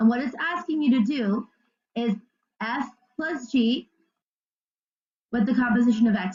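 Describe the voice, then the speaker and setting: Her intonation lively, a woman speaks at a high pitch. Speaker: math teacher. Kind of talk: tutorial. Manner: fast.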